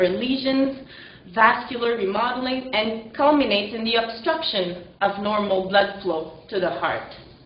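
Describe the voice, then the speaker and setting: A woman with a French Canadian accent speaks at a moderate pace amid noticeable background noise and audible room echo. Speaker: kinesiology lecturer. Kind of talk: lecture. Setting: presentation to live and online audience. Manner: hesitant, with fillers.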